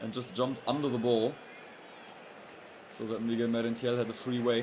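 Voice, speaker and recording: A man's monotone, flat delivery at a fairly quick pace, with noticeable background noise and audible room echo. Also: medium pitch for a man. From Europe. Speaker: football streamer. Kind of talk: live match commentary. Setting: livestream. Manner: lowered volume, not shouting goals; halting, with fillers and restarts.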